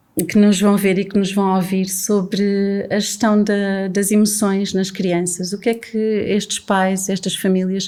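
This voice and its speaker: A woman with a dark, mellow tone talks fairly slowly, with hardly any pauses. Her medium-pitched voice stays monotone and flat. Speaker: podcast host. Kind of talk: casual conversation.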